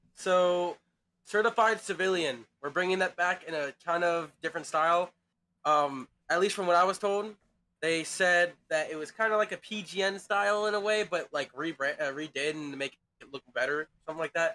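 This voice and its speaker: A man with a high pitch and a bright, sharp tone talks at a moderate pace with ordinary pitch variation. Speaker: game server staff leader. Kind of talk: staff meeting. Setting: online voice chat.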